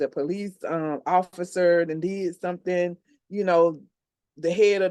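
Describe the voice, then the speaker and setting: A woman speaks with a dark, mellow tone at a fairly low pitch. Her intonation is monotone and flat, and her pace is moderate. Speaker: podcast co-host. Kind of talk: casual chat. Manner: halting.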